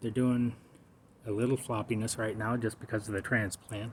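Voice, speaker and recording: Pitched in the medium range, a man's voice sounds somewhat breathy. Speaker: cannabis home gardener. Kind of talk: casual video narration. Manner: halting, speech difficulty; many filler pauses.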